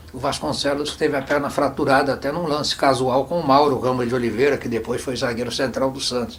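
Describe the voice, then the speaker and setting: A man talks at a fairly quick pace with a fairly high pitch. Noticeable background noise runs behind him. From Santos, Brazil. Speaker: former footballer and coach. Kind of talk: oral history interview answer. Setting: studio.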